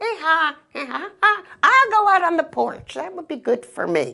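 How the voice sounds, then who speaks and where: This is a squeaky put-on character voice at an extremely high pitch. It moves at a moderate pace. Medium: read story.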